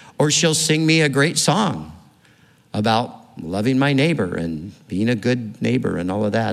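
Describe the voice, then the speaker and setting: A man talks at a moderate pace with vocal fry. Audible room echo surrounds his voice. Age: old. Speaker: pastor. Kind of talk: sermon.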